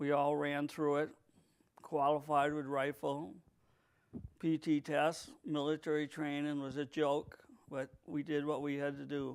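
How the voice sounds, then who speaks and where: A fairly high-pitched man with a New England accent, fairly slow and flat in monotone, with long, frequent pauses. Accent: New England American. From New England, US. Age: 60s. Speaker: war veteran. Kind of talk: interview. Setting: video recording.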